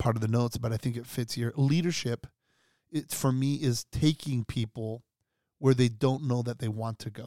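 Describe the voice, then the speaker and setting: This man has a normal speaking voice, talking at a moderate pace and medium pitch with fairly even intonation in a dry, close sound with no echo. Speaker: pastor. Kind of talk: casual chat.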